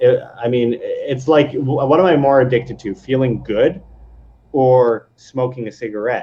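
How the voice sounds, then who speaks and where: A man with a medium pitch and a somewhat breathy voice talks at a moderate pace, his pitch varying in an ordinary way. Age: 20s. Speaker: video creator and former musician. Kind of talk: casual chat. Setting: live stream.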